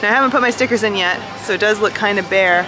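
A woman speaks with ordinary pitch variation over clear music in the background. Her voice sounds dry, with no echo. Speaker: vlogger. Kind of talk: casual vlog chat. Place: street. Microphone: phone near.

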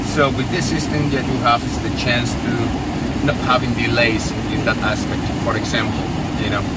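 Dry, echo-free sound from a man, with loud noise behind. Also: moderate pace. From Spain. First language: Spanish. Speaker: airline pilot. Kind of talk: interview. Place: plane. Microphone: camera far.

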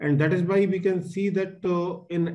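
At a moderate pace, a man delivers his words. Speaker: speaker. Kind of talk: webinar talk. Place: home room. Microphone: video call.

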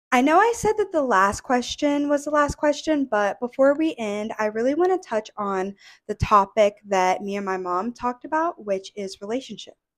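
Against a quiet background, a woman with a high-pitched voice talks with very wide pitch swings and hardly any pauses. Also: moderate pace. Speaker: video creator with alopecia. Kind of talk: casual interview. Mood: warm, smiling. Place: home room. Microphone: handheld.

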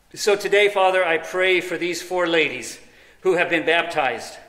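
A man speaks in a high pitch at a moderate pace with ordinary pitch variation, his voice carrying audible room echo. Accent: American. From US. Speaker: pastor. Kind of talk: sermon. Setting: church. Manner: animated. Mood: reverent, calm prayer. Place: church.

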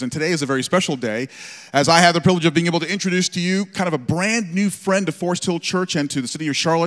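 A high-pitched male voice over a quiet background. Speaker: church pastor. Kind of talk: sermon introduction announcement. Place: church. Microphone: handheld.

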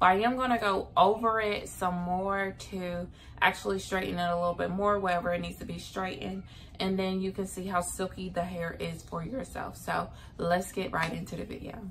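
A woman speaks at a fairly quick pace. There is light background noise. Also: fairly even intonation. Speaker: beauty vlogger. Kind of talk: casual vlog chat. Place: home room. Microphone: phone near.

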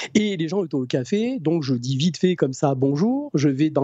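The pace is moderate over a quiet background. The sound is dry, with no echo. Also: man. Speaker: energy healer; guest. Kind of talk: interview. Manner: halting. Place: home room. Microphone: new microphone, good sound; studio mic.

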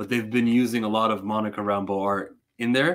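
This man has a normal speaking voice with fairly low pitch and a fairly quick pace. The background is quiet. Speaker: comic book reviewer. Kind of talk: casual review commentary. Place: home room.

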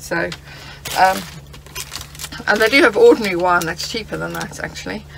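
A woman with a fairly low voice and vocal fry speaks at a moderate pace with ordinary pitch variation over faint background noise.

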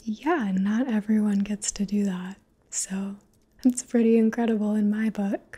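A soft-spoken woman's voice, dark and mellow, with fairly even intonation. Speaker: roleplay host. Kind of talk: intimate roleplay talk to viewer. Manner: soft close-mic ASMR murmur. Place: home room. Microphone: phone near.

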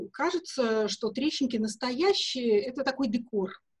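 Over a quiet background, a woman talks in an unremarkable speaking voice at a fairly high pitch. Her pace is fairly slow. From Russia (Soviet Union). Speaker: perfumer and perfume historian; guest. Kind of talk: interview. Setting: video call from home. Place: home room. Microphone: video call.

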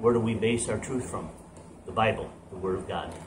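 A man talks over noticeable background noise. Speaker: home gym coach. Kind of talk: casual sermon then workout intro. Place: garage.

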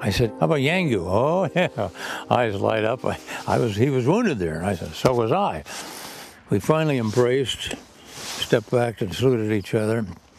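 Over music in the background, a man speaks with a dry sound that carries no echo. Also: moderate pace. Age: 80s+. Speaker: war veteran. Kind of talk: interview answer. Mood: reflective, emotional recollection. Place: open country.

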